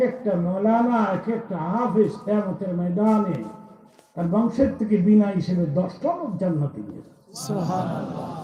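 A high-pitched man with big swings in loudness, over noticeable background noise. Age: 80s+. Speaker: Islamic preacher. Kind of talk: Islamic sermon (waz) to a live audience.

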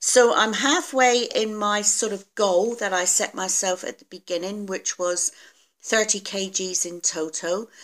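The woman's pitch moves in an ordinary way as she talks at a fairly slow pace. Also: quiet background. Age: 50s. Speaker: weight loss vlogger. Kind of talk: casual video diary. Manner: hesitant, many fillers. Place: home room. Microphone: phone near.

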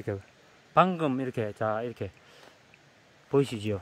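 Ordinary pitch variation in a dry sound with no echo, over light background noise. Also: man. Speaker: documentary host. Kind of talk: casual narration to camera. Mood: admiring, warm. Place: farm. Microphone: phone near.

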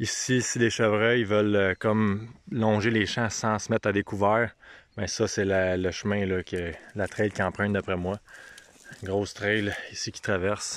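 Speaking at a fairly slow pace, a man with a fairly low pitch talks in a monotone, flat way, the sound dry with no echo and light background noise behind him. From Quebec. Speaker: hunting video host, bowhunter; hunting video host. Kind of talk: outdoor vlog walkthrough. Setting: outdoors in the woods. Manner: casual, hesitant with fillers. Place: open country. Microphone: phone near.

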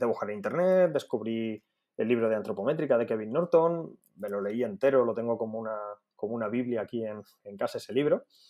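Against a quiet background, a man with medium pitch talks at a very fast pace with lively intonation. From Spain, Alicante area; Spain. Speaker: dietitian; podcast guest. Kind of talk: interview. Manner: halting, frequent repetitions. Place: home room. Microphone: earbuds.

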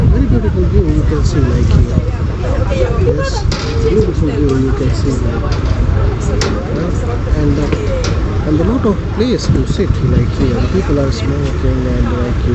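Against crowd noise in the background, a man speaks at a moderate pace with ordinary pitch variation and long, frequent pauses. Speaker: travel vlogger. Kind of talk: casual vlog chat. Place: station. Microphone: phone near.

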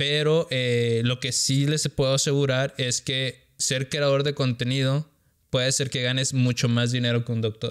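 A man talks at a moderate pace with a medium pitch. His intonation stays fairly even against a quiet background. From Sonora, northern Mexico. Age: 30s. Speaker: content creator. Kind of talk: casual interview chat. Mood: relaxed, conversational. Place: studio. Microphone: studio mic.

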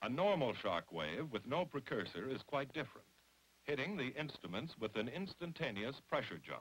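Using vocal fry, a man talks at a moderate pace and medium pitch, with very wide pitch swings. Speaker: documentary narrator. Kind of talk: 1950s atomic test documentary narration, scripted and formal. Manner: formal, authoritative, measured; brisk, matter-of-fact newsreel delivery.

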